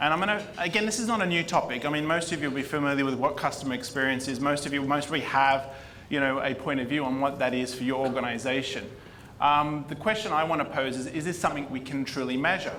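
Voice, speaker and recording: Over noticeable background noise and audible room echo, a man with an Australian accent talks at a very fast pace in a fairly high pitch with ordinary pitch variation. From Australia, Sydney. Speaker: marketing executive. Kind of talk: conference talk.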